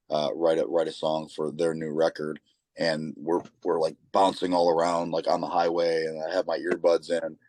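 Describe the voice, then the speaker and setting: A man with a Michigan accent speaks at a moderate pace. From Michigan, Saginaw area. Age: 30s. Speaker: lead singer of a rock band. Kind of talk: interview. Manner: halting, many repeated words.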